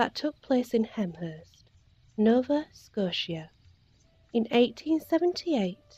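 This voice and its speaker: Soft-spoken and very slow, a woman talks with a fairly high pitch. Her pitch swings very widely, with music in the background. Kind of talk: bedtime story reading.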